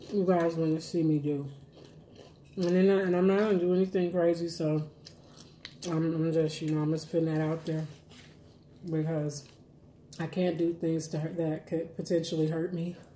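A dark, mellow tone in a monotone, flat intonation moves at a moderate pace with long, frequent pauses, against light background noise and audible room echo. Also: woman, fairly low pitch for a woman. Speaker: food vlogger. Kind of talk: casual vlog chat while eating. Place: kitchen. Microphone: phone near.

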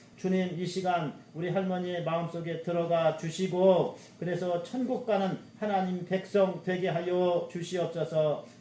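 The intonation is fairly even. Noticeable background noise is present. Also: man, high pitch for a man, fairly slow pace. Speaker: pastor. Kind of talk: prayer.

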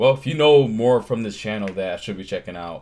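Ordinary pitch variation from a man at a very fast pace. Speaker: reaction video creator. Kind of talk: casual vlog chat. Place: home room. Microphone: earbuds.

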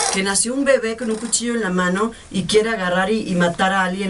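Over noticeable background noise, a woman talks in an animated tone at a moderate pace. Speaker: telenovela actress. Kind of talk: casual interview. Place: studio.

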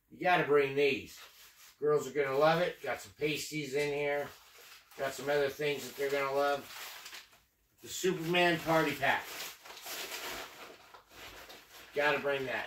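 The speech is monotone and flat, broken by long, frequent pauses, with noticeable background noise. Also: man, moderate pace. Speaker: travel vlogger. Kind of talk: casual vlog chat. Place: home room. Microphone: camera far.

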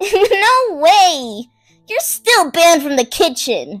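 A put-on character voice speaks at a very slow pace. Faint music plays in the background. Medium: dub. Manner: worried, earnest.

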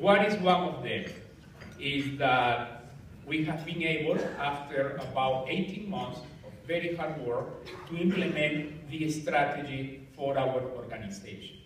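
A man's fairly high-pitched voice with ordinary pitch variation, at a fairly slow pace, with audible room echo and light background noise. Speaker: engineering society president. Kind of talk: farewell speech. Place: hall. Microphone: camera far.

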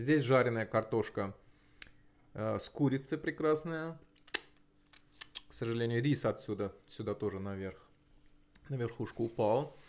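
The man speaks at a moderate pace with ordinary pitch variation. He leaves long, frequent pauses. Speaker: mukbang vlogger. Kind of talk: casual vlog chat. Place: home room. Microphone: lapel.

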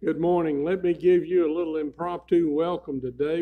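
His voice has a dark, mellow tone and ordinary pitch variation. The man speaks at a moderate pace. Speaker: church pastor. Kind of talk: church announcements. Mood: light, joking. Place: church. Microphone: podium.

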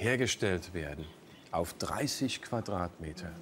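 Light background noise sits behind a man speaking at a fairly slow pace. His pitch swings very widely. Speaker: quiz show host. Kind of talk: TV quiz show hosting.

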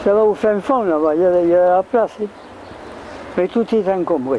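A man's high-pitched voice at a fairly slow pace, with long, frequent pauses, lively intonation, very even loudness and noticeable background noise. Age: 80s+. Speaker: retiree at the market. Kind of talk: casual chat.

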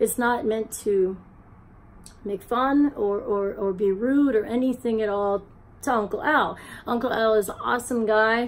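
A woman keeps a fairly slow pace and fairly even intonation as she speaks. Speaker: vlogger. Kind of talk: casual vlog chat. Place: home room. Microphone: phone near.

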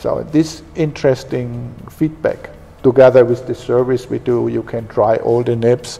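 A man with a German accent at a fairly slow pace. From Germany. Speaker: pen company executive. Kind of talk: interview. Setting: company office and shop. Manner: halting. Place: office. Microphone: lapel.

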